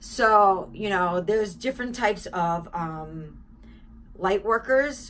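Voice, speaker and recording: Bright and sharp in tone, a woman's medium-pitched voice moves with lively intonation. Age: 40s. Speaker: spiritual vlogger. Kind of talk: casual monologue. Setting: home apartment.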